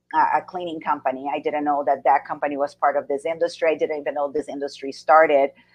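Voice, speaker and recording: A woman with a Portuguese accent talks very fast, with hardly any pauses. Her very deep, low voice stays monotone and flat. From Brazil. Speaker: business coach and speaker. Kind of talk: interview.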